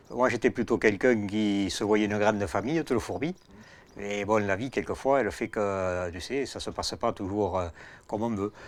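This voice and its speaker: A man with a fairly low pitch and ordinary pitch variation speaks at a moderate pace on a very clean recording with a silent background. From rural France. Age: 60s. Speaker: farmer. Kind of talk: casual chat. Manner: halting.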